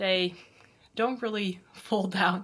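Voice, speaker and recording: This woman has a bright, sharp tone and ordinary pitch variation. She talks at a fairly slow pace. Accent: Dutch. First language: Dutch. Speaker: handbag vlogger. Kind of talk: product review vlog. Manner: casual.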